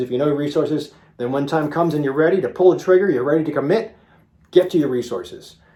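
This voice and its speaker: Here is a man with a plain, everyday voice. His pitch is fairly high, with ordinary pitch variation. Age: 50s. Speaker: physician. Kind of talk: casual video talk to viewers. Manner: conversational with frequent fillers.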